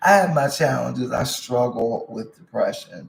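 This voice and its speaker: A somewhat breathy male voice at a medium pitch. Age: 60s. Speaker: vlogger / wellness coach. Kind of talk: casual personal monologue. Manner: halting, with many fillers.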